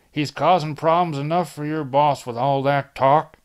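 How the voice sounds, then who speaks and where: Pitched low-to-middle, this put-on character voice moves at a moderate pace. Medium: read story. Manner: gruff, blunt.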